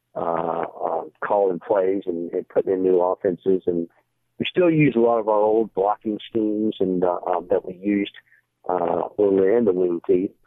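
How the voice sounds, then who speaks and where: A man speaks in an unremarkable speaking voice with a fairly low pitch. His intonation stays fairly even, and his pace is moderate. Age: 60s. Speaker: high school football coach. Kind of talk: podcast interview.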